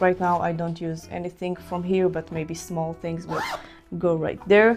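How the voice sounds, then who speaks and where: A non-native accent at a moderate pace, with music in the background. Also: woman. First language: not English. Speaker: photographer and content creator. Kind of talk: casual gear walkthrough. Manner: halting with many fillers.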